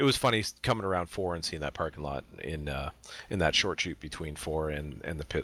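Very deep, low pitch from a man with vocal fry and a bright, sharp tone, at a fairly quick pace with ordinary pitch variation, on a very clean recording with a silent background. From Canada. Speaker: sim racing podcast co-host. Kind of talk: casual chat.

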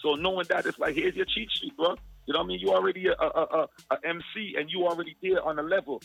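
With music in the background, a man rattles off his words at a very fast pace. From Guyana and Jamaica. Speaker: music artist and event promoter. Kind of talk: casual interview. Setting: phone call.

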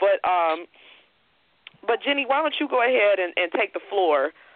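A woman with an American accent speaks in a normal speaking voice at a medium pitch. Her pace is fairly quick and her intonation lively. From Chicago. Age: 20s. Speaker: podcast host. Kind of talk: interview. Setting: phone call.

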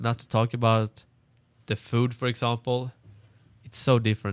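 A man with a Swedish accent at medium pitch, monotone and flat, in a dry, close recording with no echo, very clean with a silent background. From Sweden. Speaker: international college student. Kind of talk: casual chat.

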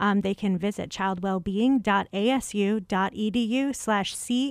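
A voice with a Chicago accent, very even loudness and fairly even intonation, on a very clean recording with a silent background. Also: woman. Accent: Chicago Midwestern. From Chicago, US Midwest. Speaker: communications and events manager. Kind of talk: radio interview.

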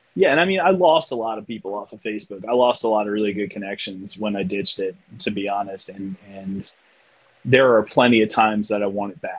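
A man speaks in an ordinary speaking voice with an American accent. His pitch sits fairly low, and his pace is fairly quick. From US Mid-Atlantic, outside Washington DC. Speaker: artist. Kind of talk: casual chat.

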